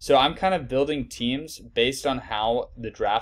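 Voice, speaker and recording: The pace of this man's speech is fairly slow. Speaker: fantasy sports analyst. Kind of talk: tutorial. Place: home room.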